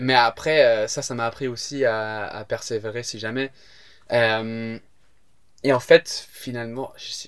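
A man at a medium pitch speaks very slowly with fairly even intonation and long, frequent pauses. His loudness swings widely on a very clean recording with a silent background. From England (Southampton). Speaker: stand-up comedian. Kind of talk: casual chat. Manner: halting.

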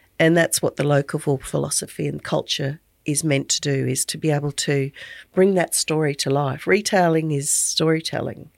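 Very deep and low, a woman's voice with an Australian accent keeps a fairly even intonation in a dry, close sound with no echo. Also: moderate pace, very clean recording, silent background. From rural Queensland, Australia. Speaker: business owner and podcast host. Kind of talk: casual interview chat.

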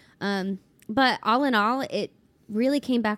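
A woman with an American accent speaks at a fairly slow pace in a plain, everyday voice. Her intonation is fairly even, and the recording is very clean with a silent background. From Ohio, Cincinnati. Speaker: country singer-songwriter. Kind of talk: casual chat.

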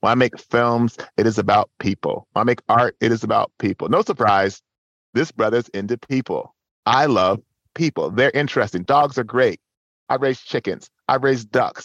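A man at medium pitch and moderate pace, with ordinary pitch variation, dry, close sound with no echo and a quiet background. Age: 40s. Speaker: touch specialist and facilitator. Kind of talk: interview conversation. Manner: halting.

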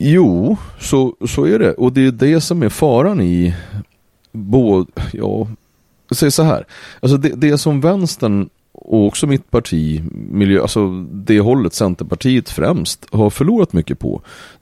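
A man speaks at a medium pitch and fairly slow pace, his dark, mellow tone kept at very even loudness. His pitch swings very widely, with a dry, close sound and no echo. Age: 70s. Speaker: entrepreneur and politician. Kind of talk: casual chat. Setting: on a boat.

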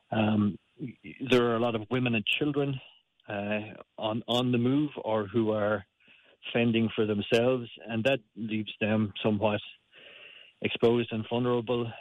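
A man with a Limerick accent speaks at a moderate pace and medium pitch, his intonation flat and monotone, with long pauses coming often. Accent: Irish (Limerick). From Ireland, Limerick. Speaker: aid worker. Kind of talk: radio interview. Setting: phone call. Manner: halting, many fillers.

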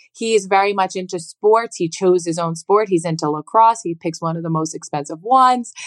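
A plain, everyday voice: a woman at medium pitch with ordinary pitch variation, a fairly quick pace, hardly any pauses, and a dry, close sound with no echo. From New Jersey Shore. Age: 30s. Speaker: podcast guest, mother. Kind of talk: casual chat.

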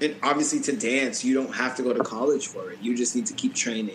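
Over noticeable background noise, a man with an American accent talks at a fairly quick pace with lively intonation. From Boston, Massachusetts. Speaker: professional dancer and choreographer. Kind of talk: casual interview chat.

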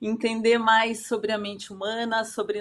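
With a plain, everyday voice, a woman speaks at a fairly slow pace and a fairly high pitch, recorded very cleanly against a silent background. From Santa Catarina, southern Brazil. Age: 40s. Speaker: wellness consultant and coach. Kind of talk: interview.

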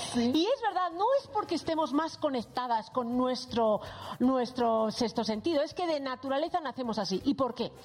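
A woman speaks at a high pitch and a moderate pace. Her loudness stays very even, with noticeable background noise behind her. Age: 40s. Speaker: psychologist. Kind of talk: casual chat.

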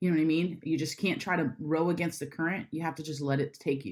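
A woman with a very deep, low voice and an American accent speaks with ordinary pitch variation on a very clean recording with a silent background. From Florida, Jacksonville. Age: 30s. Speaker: church creative director. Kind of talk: interview. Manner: direct, to the point.

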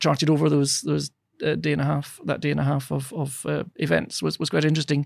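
A man with a Scottish accent is speaking. He talks at a very fast pace. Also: dry, close sound with no echo, very clean recording, silent background. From Scotland. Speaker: political science professor. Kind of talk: interview. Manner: halting, many repetitions.

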